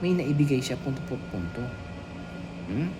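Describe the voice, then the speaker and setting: A soft-spoken man talks at a moderate pace. Noticeable background noise and audible room echo surround him. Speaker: YouTube vlogger. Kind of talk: reaction commentary. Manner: halting.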